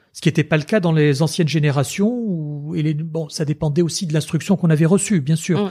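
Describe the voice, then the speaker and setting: Very fast and fairly high-pitched, a man speaks with ordinary pitch variation. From Tunisia. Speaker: lawyer and former member of parliament. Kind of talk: interview.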